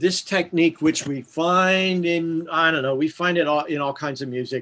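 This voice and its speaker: A man talks at a moderate pace with a bright, sharp tone. His pitch is fairly high and his intonation fairly even. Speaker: music theory teacher. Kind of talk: lecture. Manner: halting.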